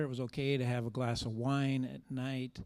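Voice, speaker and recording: At a moderate pace comes an ordinary speaking voice, on a very clean recording with a silent background. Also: man. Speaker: church member sharing testimony. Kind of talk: testimony.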